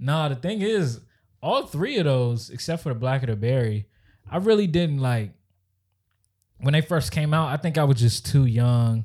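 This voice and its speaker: On a very clean recording with a silent background, a man with a fairly high pitch speaks in a somewhat breathy voice at a moderate pace, using lively intonation and long, frequent pauses. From Maryland. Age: 20s. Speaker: podcast co-host. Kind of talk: casual chat.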